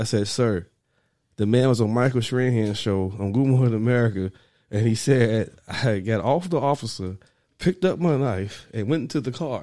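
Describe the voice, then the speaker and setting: A man speaks at a moderate pace with a medium pitch and ordinary pitch variation. He has a plain, everyday voice. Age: 30s. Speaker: podcast co-host. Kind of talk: casual chat.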